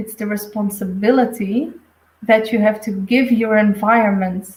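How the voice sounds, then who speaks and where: A woman speaks with a Flemish accent. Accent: Flemish Dutch accent in English. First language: Dutch. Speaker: intuitive medium. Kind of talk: live stream reading. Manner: halting.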